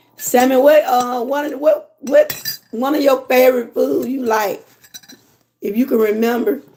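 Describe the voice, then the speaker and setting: At a moderate pace, a woman talks in an animated tone, her high pitch showing ordinary variation. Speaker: lifestyle vlogger. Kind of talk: casual chat. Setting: livestream.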